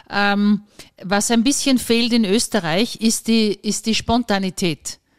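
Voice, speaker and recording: A woman's normal speaking voice, fairly high in pitch with fairly even intonation, dry and close with no echo. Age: 50s. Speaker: podcast host. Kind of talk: casual chat.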